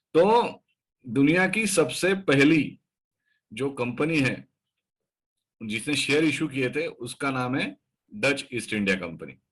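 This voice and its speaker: A man's fairly high voice carries vocal fry and very wide pitch swings. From Maharashtra, India. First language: Marathi (speaking Hindi). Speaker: stock market educator. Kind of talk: educational talk. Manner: hesitant with fillers.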